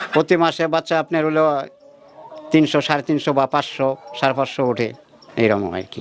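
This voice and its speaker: A man with a fairly high pitch and ordinary pitch variation speaks in an ordinary speaking voice. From Bangladesh, Tangail district. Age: 60s. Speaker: poultry farmer. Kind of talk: interview. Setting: at his home farm.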